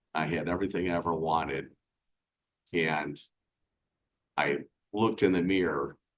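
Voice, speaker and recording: This man has a very deep, low pitch. He speaks at a fairly slow pace. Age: 60s. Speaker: business coach. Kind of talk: casual chat.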